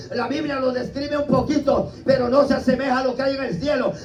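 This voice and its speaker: A man talks fairly quickly at an extremely high pitch in monotone, flat intonation, with audible room echo and music in the background. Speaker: preacher. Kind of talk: sermon.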